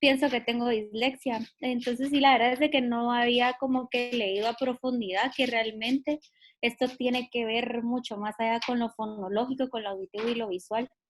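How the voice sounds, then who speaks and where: Her pitch is high and her intonation is monotone and flat. The woman keeps a moderate pace. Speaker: student. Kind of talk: class discussion.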